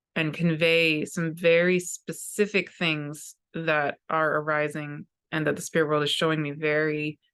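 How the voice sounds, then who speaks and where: A woman's fairly low-pitched voice comes through against a quiet background. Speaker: spiritual teacher and astrologer. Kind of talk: spoken channeled talk to viewers. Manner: frequent pauses.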